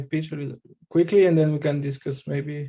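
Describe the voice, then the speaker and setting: A man's fairly high, somewhat breathy voice has a dark, mellow tone. His intonation is monotone and flat. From France. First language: French. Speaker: election candidate, crypto enthusiast. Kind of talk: candidate pitch in group video call. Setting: video call. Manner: hesitant, many fillers.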